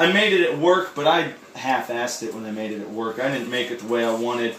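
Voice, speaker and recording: A fairly quick pace, with audible room echo and noticeable background noise. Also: man. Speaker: cooking video creator and streamer. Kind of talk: casual cooking tutorial. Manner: loud; casual, animated.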